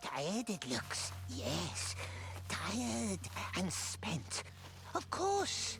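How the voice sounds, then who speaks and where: In a put-on character voice, low-pitched and very slow, the speaker leaves long, frequent pauses over loud background noise. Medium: video game. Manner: talks in third person and "we", repetitive muttering.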